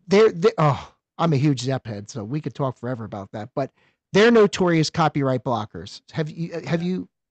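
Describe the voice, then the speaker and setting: An American-accented man talks at a moderate pace with a fairly high pitch, very wide pitch swings and big swings in loudness. The sound is dry and close with no echo, over a quiet background. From eastern Pennsylvania. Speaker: podcast co-host. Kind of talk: casual interview.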